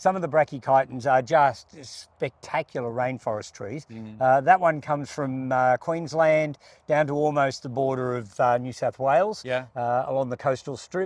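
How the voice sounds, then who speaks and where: Ordinary pitch variation at a moderate pace, with a dry sound and no echo. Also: man, hardly any pauses. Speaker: garden show co-host. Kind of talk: casual explanatory garden chat. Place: garden. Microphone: lapel.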